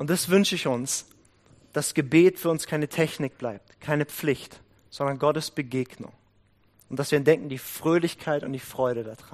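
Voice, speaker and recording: A man with a normal speaking voice talks at a moderate pace and a fairly high pitch, with ordinary pitch variation. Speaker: prayer house leader and guest preacher. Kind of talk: sermon.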